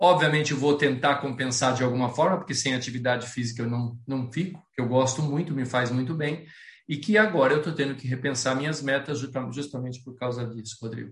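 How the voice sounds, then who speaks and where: Somewhat breathy at a medium pitch, a man speaks at a fairly quick pace with ordinary pitch variation. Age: 60s. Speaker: planning and goal-setting speaker, amateur runner. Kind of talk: online talk with Q&A.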